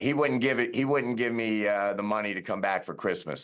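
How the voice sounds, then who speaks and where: A plain, everyday voice with an American accent at a fairly quick pace, ordinary pitch variation and a quiet background. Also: man. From New York. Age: 60s. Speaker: lawyer and sports collective founder. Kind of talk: interview.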